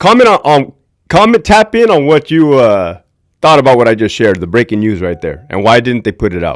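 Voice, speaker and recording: A man with an American accent at a moderate pace, medium pitch and very wide pitch swings. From Southern California. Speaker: former prison guard and livestream host. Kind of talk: livestream commentary. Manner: loud; casual, conversational.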